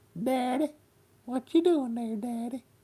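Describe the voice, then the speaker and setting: A put-on character voice in a Southern accent, fairly high in pitch, at a moderate pace. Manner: plaintive, curious.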